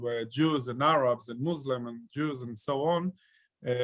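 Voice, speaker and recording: A man with an Israeli accent speaks with fairly even intonation. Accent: Israeli Hebrew-accented English. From Israel, Ashkelon. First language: Hebrew. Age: 40s. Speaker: peace activist. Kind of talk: talk to an online audience. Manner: halting, many fillers.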